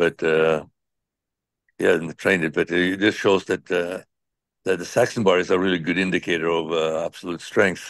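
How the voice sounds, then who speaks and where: In a very deep, low voice, a man talks at a moderate pace with monotone, flat intonation and long, frequent pauses. The sound is dry and close with no echo, over a quiet background. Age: 70s. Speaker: strength athlete. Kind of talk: interview. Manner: halting.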